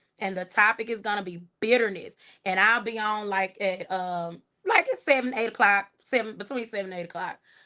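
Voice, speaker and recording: A woman with a strong rural Texas accent speaks at a fairly quick pace in a fairly high pitch with a bright, sharp tone and ordinary pitch variation. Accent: strong country Texas. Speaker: YouTube commentary livestreamer. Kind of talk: casual livestream chat. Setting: live stream. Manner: relaxed, conversational.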